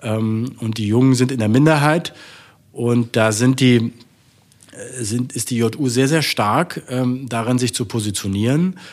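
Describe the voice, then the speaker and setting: At a very slow pace, a man with a medium pitch speaks with ordinary pitch variation. Long, frequent pauses break up his speech. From Saxony-Anhalt, Saxon parents. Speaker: politician. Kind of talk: interview.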